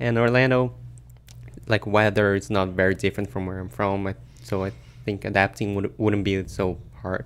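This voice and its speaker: This man speaks with a Brazilian accent in a fairly low pitch. His intonation is lively, broken by long, frequent pauses. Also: moderate pace. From Brazil, São Paulo. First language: Portuguese. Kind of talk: interview. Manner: halting.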